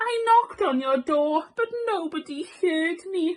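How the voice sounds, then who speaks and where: A woman performs a put-on character voice. Her pitch is extremely high. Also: fairly slow pace. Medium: read story. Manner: polite.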